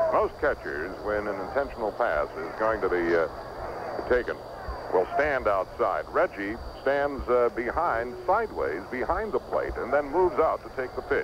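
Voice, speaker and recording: Noticeable background noise behind a man speaking at a moderate pace. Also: dry sound with no echo. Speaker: baseball radio broadcaster. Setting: ballpark press box, live radio. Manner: brisk, animated play-by-play delivery with conversational asides. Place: booth. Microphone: old recording.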